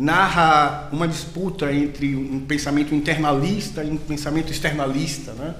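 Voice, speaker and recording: A man with a Bahian accent talks at a fairly slow pace with a fairly high pitch. Noticeable background noise and audible room echo fill the recording. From Brazil, Bahia (Salvador). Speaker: university professor of biology. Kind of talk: casual academic interview.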